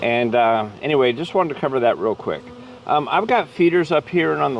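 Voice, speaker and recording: Over noticeable background noise, a man with a fairly high pitch talks in a relaxed tone at a moderate pace, with ordinary pitch variation. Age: 60s. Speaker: beekeeper. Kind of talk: casual tutorial. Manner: relaxed, hesitant with fillers.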